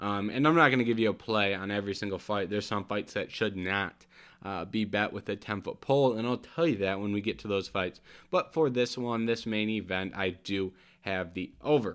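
With an ordinary speaking voice, a man speaks at a fairly quick pace in a fairly low pitch with ordinary pitch variation, on a very clean recording with a silent background. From US Midwest, Michigan. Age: 20s. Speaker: MMA podcast host. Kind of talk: solo sports preview monologue. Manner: many filler ums.

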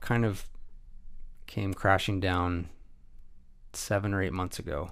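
A man's very deep, low, monotone voice with flat intonation, long, frequent pauses and a West Coast accent. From US Pacific Northwest, Pierce County, Washington. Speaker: photographer and videographer. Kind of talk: casual interview. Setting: studio.

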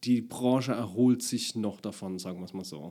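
There is no background sound at all in this very clean recording. The man's voice sits at a medium pitch and has a dark, mellow tone. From Palatinate, Deidesheim. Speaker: actor and comedian. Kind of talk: casual interview.

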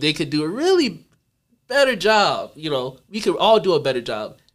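Lively intonation and a moderate pace from a man with an unremarkable speaking voice. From North Carolina. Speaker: neuroscientist podcast host. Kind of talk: casual chat.

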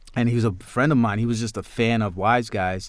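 On a very clean recording with a silent background, a man speaks with a New York accent. His pace is moderate and his intonation fairly even. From New York, Queens. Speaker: filmmaker and actor. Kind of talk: interview. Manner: halting.

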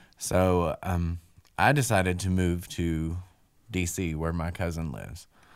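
In an Appalachian accent, a man speaks at a fairly slow pace with a very deep, low voice. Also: ordinary pitch variation. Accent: Southern US (Appalachian). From West Virginia and North Carolina. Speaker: person in recovery. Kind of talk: casual interview.

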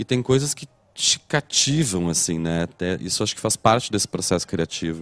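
Recorded dry and close with no echo and a silent, very clean background, a man speaks at a moderate pace in a very deep, low voice with lively intonation. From Brazil, Porto Alegre. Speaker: festival director and curator. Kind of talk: casual chat. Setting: studio.

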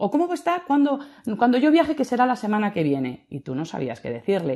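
A woman's dark, mellow voice at a very fast pace, with very wide pitch swings against a quiet background. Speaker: audience participant. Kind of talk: casual chat. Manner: halting.

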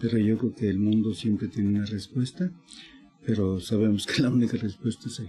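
At a fairly quick pace, a man speaks with a dark, mellow tone, fairly low pitch, ordinary pitch variation and a somewhat breathy quality. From Michoacán, Mexico. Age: 70s. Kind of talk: interview storytelling.

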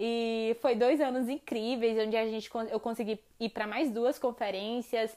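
Fairly high-pitched woman's voice, dark and mellow in tone, monotone and flat at a fairly slow pace. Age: 20s. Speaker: biologist and environmental activist. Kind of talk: personal testimony.

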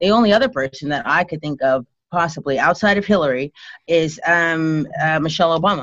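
A woman's fairly low voice, a normal speaking voice at a fairly quick pace with ordinary pitch variation. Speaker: guest, wife of main guest. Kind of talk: casual chat.

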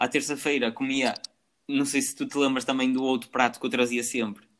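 A man with a normal speaking voice talks at a fairly quick pace, his medium pitch carried in fairly even intonation. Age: 20s. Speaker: podcast host. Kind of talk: casual chat.

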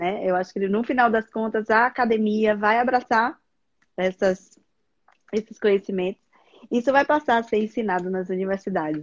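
A woman talks at a moderate pace with a fairly high pitch and ordinary pitch variation. Her pauses are long and frequent. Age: 40s. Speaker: gynecologist. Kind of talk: live stream interview. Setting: online live stream.

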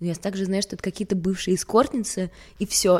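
The background is silent and the recording very clean. A woman talks in a dark, mellow tone. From Sweden, partly Russia. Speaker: fashion model. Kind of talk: casual interview chat.

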